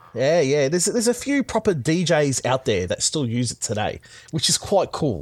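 At a moderate pace, a man with an Australian accent speaks in a fairly high voice whose pitch swings very widely. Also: very clean recording, silent background. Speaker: podcaster. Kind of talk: casual chat.

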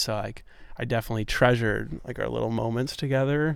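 A man with an American accent at a very fast pace, with fairly even intonation. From New York City. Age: 20s. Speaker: podcast host. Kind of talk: casual interview chat. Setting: outdoors in a park.

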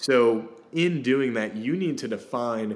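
Medium in pitch, a man speaks with lively intonation amid audible room echo. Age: 20s. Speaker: real estate agent. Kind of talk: podcast interview.

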